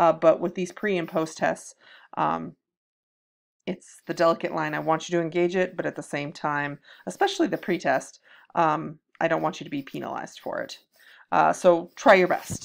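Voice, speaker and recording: Vocal fry runs through speech at a moderate pace with long, frequent pauses. The recording is very clean, with a silent background. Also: woman. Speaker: college writing instructor. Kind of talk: course welcome video. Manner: hesitant, many fillers.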